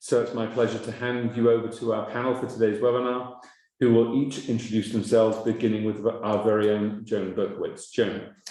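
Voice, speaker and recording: The voice, in an English accent, moves at a fairly quick pace with a dark, mellow tone and flat, monotone intonation amid audible room echo. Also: man, medium pitch for a man. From England. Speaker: webinar moderator. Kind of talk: webinar introduction. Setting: online webinar.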